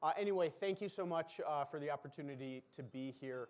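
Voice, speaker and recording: A man's fairly high voice with lively intonation. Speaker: professor at a military academy. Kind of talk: lecture. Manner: loud projecting command voice; hesitant, many fillers.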